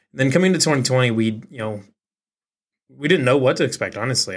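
A man with a Midwestern American accent speaks at a fairly quick pace in a medium pitch, his intonation lively and his loudness swinging widely. The recording is very clean with a silent background. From Eastern Iowa. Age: 20s. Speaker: sports podcast host. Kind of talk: solo podcast reaction. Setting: home office studio. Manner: casual, halting with fillers.

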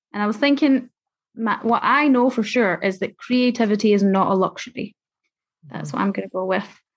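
A woman with a Scottish accent, at a fairly high pitch and fairly quick pace, with ordinary pitch variation. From Scotland. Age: 20s. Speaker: youth care advocate. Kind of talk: interview.

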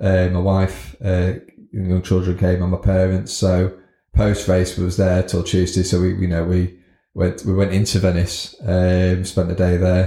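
A man's very deep, low voice comes across somewhat breathy with a dark, mellow tone on a very clean recording with a silent background. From northern England (Scunthorpe, North Lincolnshire). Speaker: business owner. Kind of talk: interview. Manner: hesitant, many fillers.

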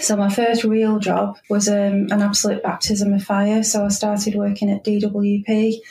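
A woman speaks with a Manchester accent. Her pitch sits in the medium range. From Manchester, northern England. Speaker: transport company manager. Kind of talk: interview.

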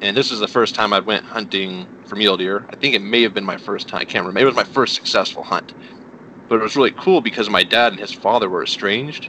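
Over noticeable background noise, a man talks at a very fast pace in a fairly low voice with ordinary pitch variation. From New Mexico. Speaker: hunter. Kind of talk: casual chat. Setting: phone call.

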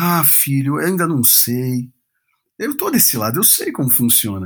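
Here a man speaks at a moderate pace in a somewhat breathy voice. The recording is very clean, with a silent background. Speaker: pastor and worship leader. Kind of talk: podcast interview. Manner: halting.

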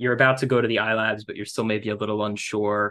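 Against a quiet background, a man speaks with fairly even intonation. He has an ordinary speaking voice at medium pitch. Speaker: student podcast host. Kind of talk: interview.

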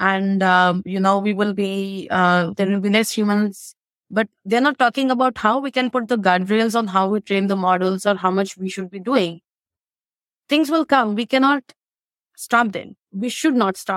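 Recorded with a dry, close sound and no echo, a woman uses a normal speaking voice at medium pitch, keeping a moderate pace and ordinary pitch variation. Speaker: AI expert and author. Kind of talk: interview conversation.

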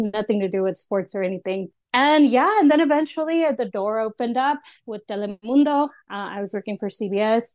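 A woman with a Spanish accent talks at a fairly quick pace in a fairly high pitch. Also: lively intonation. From Austin, Texas. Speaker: freelance sports reporter. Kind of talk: casual interview.

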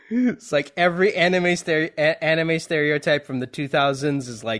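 With noticeable background noise, a man with a fairly high pitch talks at a moderate pace, with ordinary pitch variation and hardly any pauses. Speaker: podcast host. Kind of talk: casual interview chat.

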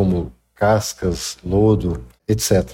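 Somewhat breathy and fairly low, a man's voice carries a dark, mellow tone and lively intonation. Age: 40s. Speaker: industrial project manager. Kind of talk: interview. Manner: halting.

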